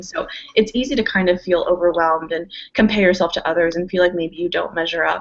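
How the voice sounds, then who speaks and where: Her fairly low voice moves at a very fast pace, the woman keeping her intonation fairly even. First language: Spanish. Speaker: college student panelist. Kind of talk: panel Q&A.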